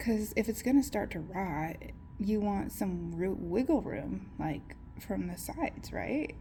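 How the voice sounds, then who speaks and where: A woman is whispering. Her pace is fairly slow. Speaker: plant hobbyist vlogger. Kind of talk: casual tutorial vlog. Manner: chatty, hesitant.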